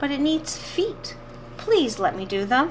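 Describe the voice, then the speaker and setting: With clear background noise behind her, a woman uses a put-on character voice at a high pitch and a fairly slow pace. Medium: read story.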